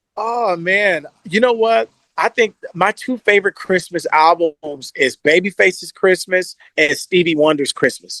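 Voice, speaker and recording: Speaking at a fairly slow pace in an American accent, a man with a high pitch has a bright, sharp tone, ordinary pitch variation, and a dry, close sound with no echo. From Kansas City, Missouri. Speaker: R&B singer. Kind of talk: interview answer. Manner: casual, relaxed.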